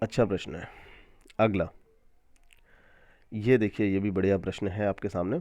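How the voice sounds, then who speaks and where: With a dark, mellow tone and fairly low pitch, a man talks at a fairly slow pace with fairly even intonation and long, frequent pauses. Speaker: maths teacher. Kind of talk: tutorial.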